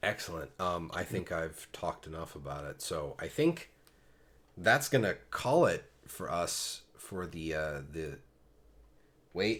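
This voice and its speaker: With an American accent, a man speaks very slowly in a very deep, low voice with lively intonation, on a very clean recording with a silent background. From Pennsylvania, US. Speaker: podcast host. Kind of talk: casual chat.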